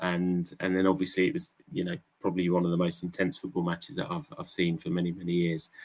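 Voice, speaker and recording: A man with an English accent speaks at a very fast pace, with hardly any pauses. His pitch is very deep and low, with ordinary variation. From England. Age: 40s. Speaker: crypto project representative. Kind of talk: live stream AMA chat.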